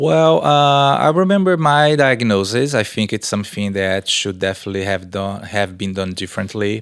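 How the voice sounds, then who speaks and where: This man has a Brazilian accent and a fairly low pitch. He talks at a moderate pace with lively intonation. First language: Portuguese. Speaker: research professor and exercise scientist. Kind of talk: podcast interview answer.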